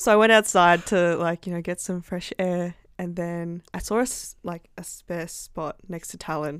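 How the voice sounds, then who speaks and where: On a very clean recording with a silent background, a woman with an Australian accent speaks in a fairly low voice at a moderate pace with hardly any pauses. Her intonation is fairly even, but her loudness swings widely. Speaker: university student. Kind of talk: casual chat.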